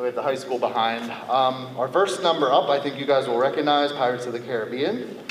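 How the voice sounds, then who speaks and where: Talking at a very fast pace with ordinary pitch variation, a man is heard over light background noise, with audible room echo. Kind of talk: concert introduction. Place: hall. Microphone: camera far.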